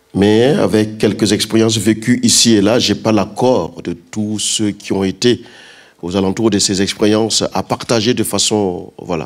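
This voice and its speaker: A man with a fairly low pitch speaks at a fairly slow pace with fairly even intonation. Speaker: pastor. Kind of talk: sermon. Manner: loud.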